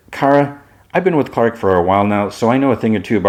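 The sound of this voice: The clip offers an unforced reading voice.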